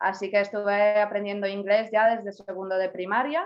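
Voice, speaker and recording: Speech in a Polish accent at a moderate pace. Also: woman. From Poland. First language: Polish (speaking Spanish). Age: 20s. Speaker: university graduate, language learner. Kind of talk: interview.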